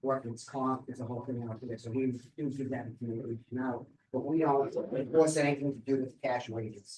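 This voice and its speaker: At a fairly quick pace, a man with a medium pitch talks in a monotone, flat intonation, sounding somewhat breathy. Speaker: labor department investigator. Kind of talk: presentation at a seminar. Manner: fast; many fillers, um and repeats.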